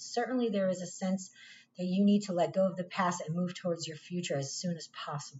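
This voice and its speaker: This somewhat breathy voice goes along at a fairly quick clip. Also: woman. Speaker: tarot reader. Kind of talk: tarot reading monologue. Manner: casual, conversational; halting, repeats words.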